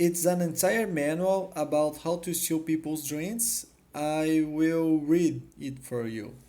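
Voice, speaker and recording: Speaking at a very slow pace with a non-native accent, the voice runs on with hardly any pauses. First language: not English. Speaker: YouTuber showing a found floppy disk. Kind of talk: casual video walkthrough; reading aloud. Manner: halting.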